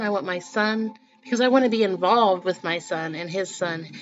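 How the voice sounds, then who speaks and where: A woman of medium pitch talks at a moderate pace. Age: 40s. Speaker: spiritual vlogger. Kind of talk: casual monologue. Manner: halting.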